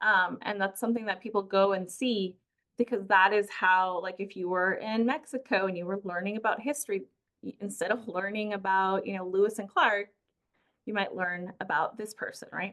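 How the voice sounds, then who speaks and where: With a Spanish accent, a woman speaks at a medium pitch and a moderate pace with fairly even intonation. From Peru. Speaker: community engagement coordinator. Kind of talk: lecture. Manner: halting, many fillers and restarts.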